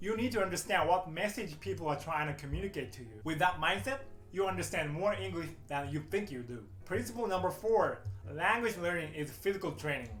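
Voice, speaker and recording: With a Japanese accent, a man talks at a fairly quick pace in a fairly high voice with very wide pitch swings, over background music and audible room echo. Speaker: English teacher. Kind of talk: YouTube tutorial. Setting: speaking to camera.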